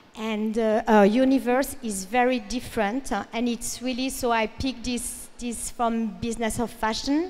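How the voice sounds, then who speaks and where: In a French accent, a woman speaks with a high pitch. Her intonation is fairly even. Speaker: fashion industry speaker. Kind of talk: panel presentation. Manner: halting.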